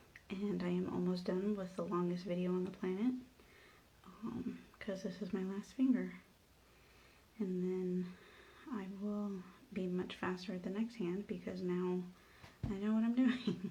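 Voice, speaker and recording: With audible room echo, a woman at a medium pitch speaks at a fairly slow pace, her somewhat breathy voice broken by long, frequent pauses. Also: fairly even intonation. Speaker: nail stylist. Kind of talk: tutorial. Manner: soft-spoken; casual, hesitant with fillers.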